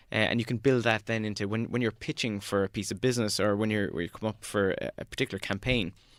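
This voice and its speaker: In a Cork accent, a man talks at a very fast pace with hardly any pauses, fairly low pitch, and fairly even intonation. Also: very clean recording, silent background. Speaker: social media strategist. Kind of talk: podcast interview.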